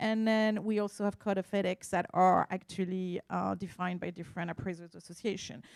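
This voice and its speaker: A woman with a French accent speaks at a medium pitch with fairly even intonation, the sound dry and close with no echo. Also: very clean recording, silent background. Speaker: art appraiser. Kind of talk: conference talk. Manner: halting.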